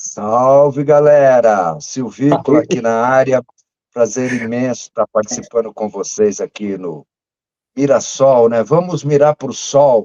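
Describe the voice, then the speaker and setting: The voice has a dark, mellow tone and ordinary pitch variation at a very slow pace. The sound is dry and close, with no echo. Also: man, medium pitch for a man. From Brazil, São Paulo. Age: 60s. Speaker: music fan club founder and curator. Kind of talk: casual interview chat.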